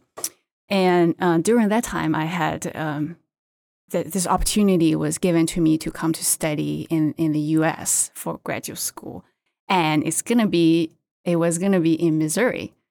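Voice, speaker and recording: A woman speaks at a moderate pace with a Chinese accent, her voice fairly low in pitch with a dark, mellow tone. Her intonation stays fairly even, and the sound is dry and close with no echo. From China. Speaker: seafood market development manager. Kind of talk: interview. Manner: halting.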